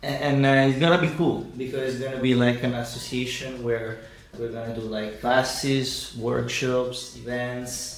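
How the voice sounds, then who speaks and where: Someone with an Italian accent talks at a moderate pace in a monotone, flat intonation, with audible room echo and noticeable background noise. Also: man, medium pitch for a man. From Italy. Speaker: actor and producer. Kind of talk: interview.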